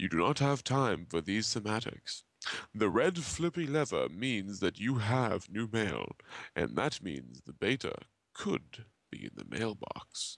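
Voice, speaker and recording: Vocal fry and very wide pitch swings mark this fairly slow delivery, captured in a very clean recording with a silent background. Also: man, fairly low pitch for a man. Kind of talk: reading of a web comic aloud.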